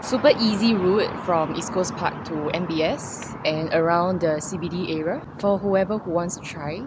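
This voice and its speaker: Noticeable background noise behind a woman's voice of ordinary pitch variation. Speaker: cycling vlogger. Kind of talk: casual vlog chat. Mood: relaxed, cheerful after ride. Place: street. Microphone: phone near.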